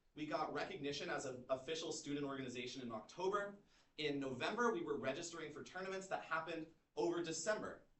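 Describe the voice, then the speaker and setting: With audible room echo, a man speaks at a very fast pace in a fairly high voice with ordinary pitch variation. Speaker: student club founder presenting. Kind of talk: informational presentation.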